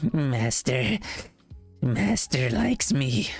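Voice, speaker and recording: Against faint music in the background, a man puts on a character voice with a sinister tone. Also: medium pitch for a man. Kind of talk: voice-acting character impression. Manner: unhinged, sinister.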